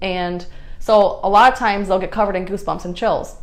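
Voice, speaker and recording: In a room with audible echo, a woman speaks very fast at a medium pitch. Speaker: psychic card reader. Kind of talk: live stream reading. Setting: live stream.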